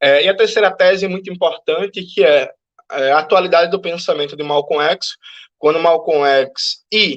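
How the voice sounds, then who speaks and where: Fairly even intonation from a man whose voice sits high in pitch. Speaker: Marxist activist and panel speaker. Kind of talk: lecture. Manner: fast.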